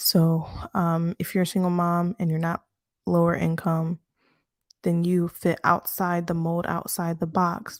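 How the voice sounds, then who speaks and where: Quiet and at a fairly slow pace, a woman with a fairly low pitch speaks in a dry, close sound with no echo on a very clean recording with a silent background. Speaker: bible study teacher. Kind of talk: casual bible study talk. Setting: home apartment at night. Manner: quiet, speaking low; halting, many fillers. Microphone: close mic to help with low voice.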